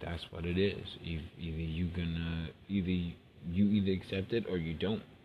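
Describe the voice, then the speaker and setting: A man with an American accent speaks in a very deep, low voice that is somewhat breathy. His intonation is monotone and flat. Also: moderate pace. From New York City. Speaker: podcaster. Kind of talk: personal monologue.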